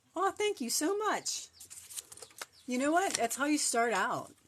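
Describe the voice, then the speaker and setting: Noticeable background noise sits behind a woman's voice. She speaks at a high pitch with very wide pitch swings. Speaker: crochet content creator. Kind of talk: live-stream craft tutorial and chat. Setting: live stream. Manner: fast.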